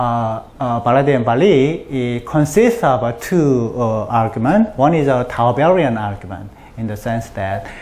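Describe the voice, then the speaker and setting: A man with a medium pitch speaks at a fairly slow pace with lively intonation. Noticeable background noise and audible room echo surround him. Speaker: mathematician giving a colloquium talk. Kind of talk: lecture. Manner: halting, many fillers.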